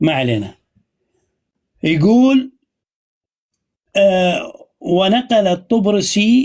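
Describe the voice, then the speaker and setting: A man's voice, high in pitch. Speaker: online religious debater. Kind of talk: casual chat. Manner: loud.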